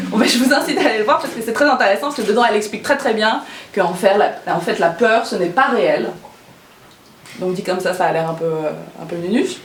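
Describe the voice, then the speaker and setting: A woman speaks at a very fast pace with long, frequent pauses, at a fairly high pitch with very wide pitch swings. There is audible room echo and noticeable background noise. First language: not French (speaking French). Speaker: former lawyer turned stand-up comedian. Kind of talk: personal testimony talk to an audience. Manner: hesitant, many fillers and repetitions; casual, humorous.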